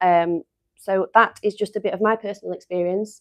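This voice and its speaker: A woman speaks with an English accent and fairly even intonation. The sound is dry and close with no echo, over a quiet background. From England. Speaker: company staff presenter. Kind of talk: live stream product demo. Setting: live stream studio. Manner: casual, chatty.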